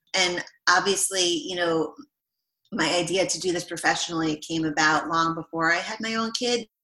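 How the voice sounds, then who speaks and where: A woman with a normal speaking voice, medium pitch, ordinary pitch variation, a moderate pace and an American accent. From New York State, Rockland County area. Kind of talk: interview.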